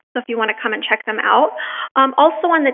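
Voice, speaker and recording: A woman speaks in a Canadian accent. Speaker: museum curator. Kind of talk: public talk. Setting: presentation to live audience.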